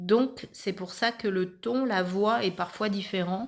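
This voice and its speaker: Speech moves at a very slow pace. The recording is very clean, with a silent background. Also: woman. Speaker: spiritual medium, card reader. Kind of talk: channelled card reading monologue.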